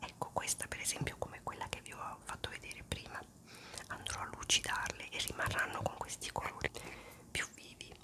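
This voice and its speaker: Whispering at a fairly quick pace, a woman leaves long, frequent pauses. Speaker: ASMR creator. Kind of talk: ASMR whispered talk to camera. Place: home room. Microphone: phone near.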